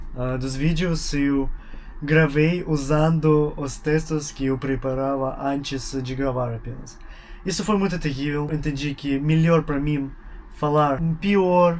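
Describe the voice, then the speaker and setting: Over audible room echo, a man with a fairly high pitch speaks at a very slow pace with fairly even intonation. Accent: Russian. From Russia. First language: Russian (speaking Portuguese). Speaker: YouTuber, language learner. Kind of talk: casual vlog monologue. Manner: halting, with pauses to think.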